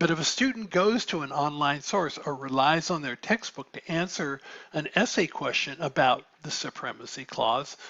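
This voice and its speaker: A man with an American accent has a normal speaking voice at a fairly high pitch. He keeps a moderate pace with lively intonation and hardly any pauses. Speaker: professor. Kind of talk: lecture.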